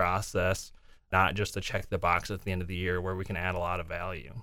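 In an American accent, a man with an ordinary speaking voice talks at a fairly quick pace and a fairly low pitch, on a very clean recording with a silent background. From US Midwest, southwest Minnesota. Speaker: accountant. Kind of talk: interview. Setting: studio.

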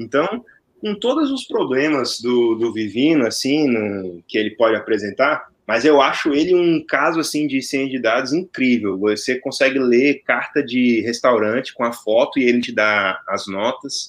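An unremarkable speaking voice moves at a fairly slow pace with ordinary pitch variation and hardly any pauses. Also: man, medium pitch for a man. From Brazil, Brasília. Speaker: data science teacher. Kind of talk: casual chat.

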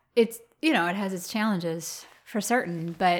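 In an Upper Midwest accent, a woman talks at a medium pitch with ordinary pitch variation on a very clean recording with a silent background. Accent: Upper Midwest American. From Minnesota, Twin Cities suburb. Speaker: flower farmer. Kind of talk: interview. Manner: halting, many fillers.

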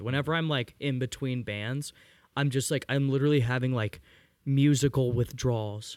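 A man with an unremarkable speaking voice talks at a moderate pace and medium pitch. The recording is very clean, with a silent background. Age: 20s. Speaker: musician in a band. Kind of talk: casual chat. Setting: garage.

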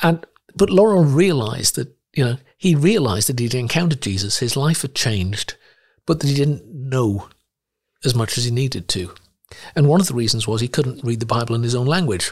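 On a very clean recording with a silent background, a man with a somewhat breathy medium-pitched voice talks at a fairly quick pace with lively intonation. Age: 60s. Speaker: missionary and Bible translator. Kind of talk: interview. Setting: studio.

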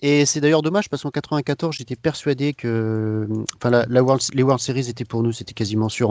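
A man talks at a fairly quick pace. His pitch sits in the medium range and his intonation stays fairly even. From France. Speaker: social media manager for a fan account. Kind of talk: casual chat. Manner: hesitant, many fillers.

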